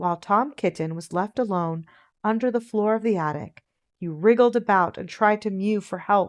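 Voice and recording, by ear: Reading aloud in a natural voice, with ordinary pitch variation against a quiet background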